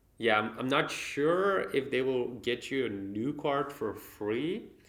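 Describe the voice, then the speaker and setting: Audible room echo surrounds a man with a Dutch accent whose intonation is lively. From Netherlands. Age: young. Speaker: business owner and credit card reviewer. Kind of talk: unboxing monologue to camera. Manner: halting, many fillers.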